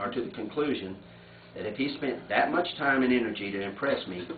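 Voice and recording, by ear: A man talks at a fairly quick pace with ordinary pitch variation. Room echo is audible.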